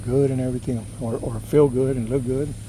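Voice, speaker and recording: A soft-spoken man with an American accent, medium pitch, fairly even intonation and a moderate pace. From California (Los Angeles), Texas-born. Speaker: cycling vlogger. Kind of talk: casual vlog monologue. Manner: hesitant, many fillers.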